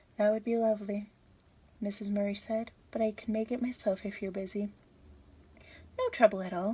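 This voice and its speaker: On a very clean recording with a silent background, a woman speaks at a fairly high pitch in a dark, mellow, somewhat breathy tone. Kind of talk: audiobook-style reading of a novel chapter. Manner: whispered.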